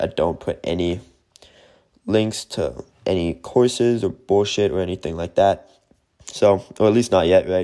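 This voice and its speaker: A man with an American accent speaks at a very deep, low pitch in a dark, mellow tone with fairly even intonation. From Germany. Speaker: podcaster and YouTuber. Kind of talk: casual monologue giving advice. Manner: casual, conversational.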